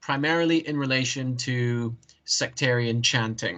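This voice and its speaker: Medium pitch and fairly even intonation from a man with a bright, sharp tone. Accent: Scottish. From Canada, then northeast Scotland (Ellon, Aberdeenshire) from teens. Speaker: anthropologist, academic researcher. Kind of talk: academic interview.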